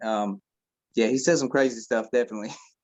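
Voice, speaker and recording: This man has a medium pitch and an American accent. His intonation stays fairly even. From northeast Indiana, then Kentucky from sixth grade. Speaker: rapper. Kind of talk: casual interview.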